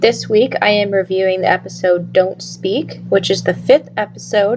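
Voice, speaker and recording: Moderately paced speech from a woman amid noticeable background noise. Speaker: podcast host reviewing TV episodes. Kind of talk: episode review monologue.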